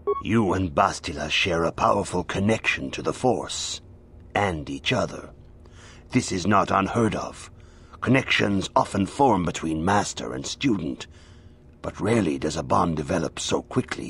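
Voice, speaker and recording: Over clear background noise, a man does a put-on character voice with a very deep, low pitch at a moderate pace. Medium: video game. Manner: calm, serene.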